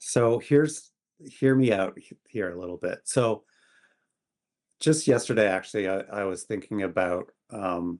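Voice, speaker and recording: A man with a Canadian accent, a plain, everyday voice, lively intonation and a fairly slow pace. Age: 60s. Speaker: photographer, podcast guest. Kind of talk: casual interview chat.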